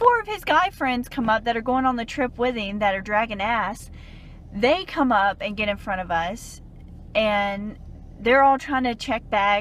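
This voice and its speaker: A woman speaks in a Southern US accent. Her pitch variation is ordinary. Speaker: dietitian and travel blogger. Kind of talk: casual rant to camera.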